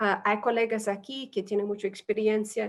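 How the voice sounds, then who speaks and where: Against a quiet background, the speaker talks with a non-native accent. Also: woman. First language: not Spanish (speaking Spanish). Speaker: humanitarian aid specialist. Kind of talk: webinar presentation. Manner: halting, many fillers.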